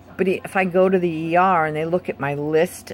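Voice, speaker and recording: A woman is speaking. Her pace is moderate. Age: 60s. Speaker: patient vlogger with chronic illness. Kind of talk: personal testimony video. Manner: hesitant, with many fillers.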